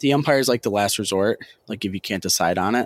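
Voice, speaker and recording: In a very clean recording with a silent background and a dry, close sound with no echo, a man with an ordinary speaking voice and a fairly low pitch speaks at a fairly quick pace with ordinary pitch variation. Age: 20s. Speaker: sports event worker. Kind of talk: casual chat.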